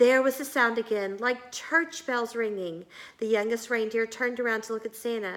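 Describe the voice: The intonation holds fairly even. What we hear is plain reading aloud.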